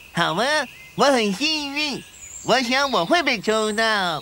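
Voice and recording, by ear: A cartoonish character voice, fairly high in pitch and fairly slow in pace, with clear background noise.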